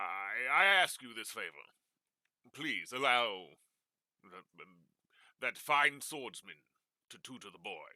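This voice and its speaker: A man speaks in a put-on character voice, raised and projected, at a medium pitch and a fairly slow pace with long, frequent pauses. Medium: actual play. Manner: formal, elaborate.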